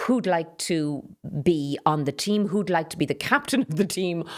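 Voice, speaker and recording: In an Irish accent, a woman with fairly low pitch talks at a moderate pace with lively intonation. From Ireland, Carlow. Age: 60s. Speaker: politician. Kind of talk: interview. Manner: direct.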